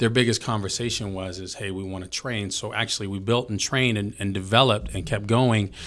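A man with an ordinary speaking voice and an American accent, fairly low in pitch, at a fairly quick pace. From Filipino heritage, grew up in a small US town. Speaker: gym owner and motivational coach. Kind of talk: casual chat. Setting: studio.

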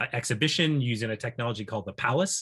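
Using an ordinary speaking voice, a man of medium pitch talks at a fairly quick pace with ordinary pitch variation over a quiet background. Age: 50s. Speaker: professor. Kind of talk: interview.

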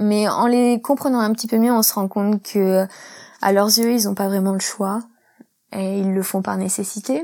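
Her voice is dark and mellow, at medium pitch with ordinary variation, as the woman speaks at a fairly slow pace. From France, rural Isère. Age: 30s. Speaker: accountant and expatriate. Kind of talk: interview testimony. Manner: hesitant.

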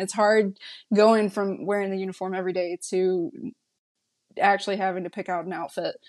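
In a North Carolina accent, a woman speaks at a medium pitch with monotone, flat intonation on a very clean recording with a silent background. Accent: Southern US, North Carolina. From rural North Carolina. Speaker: market research specialist, Marine veteran. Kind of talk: casual interview.

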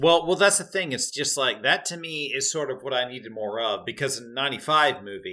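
A bright, sharp tone at a moderate pace. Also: man. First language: not English. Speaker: podcast co-host. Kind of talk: casual chat.

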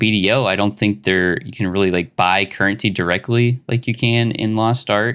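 On a very clean recording with a silent background, a man with an American accent uses a normal speaking voice at fairly low pitch, talking at a moderate pace with hardly any pauses. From Arkansas, US South. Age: 20s. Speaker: podcast host. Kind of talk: casual chat.

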